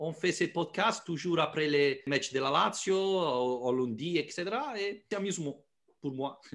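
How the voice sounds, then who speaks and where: A man with an Italian accent, lively intonation and a fairly slow pace. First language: Italian (speaking French). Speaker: sports journalist and podcaster. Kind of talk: podcast interview. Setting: video call. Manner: halting, hesitant non-native French.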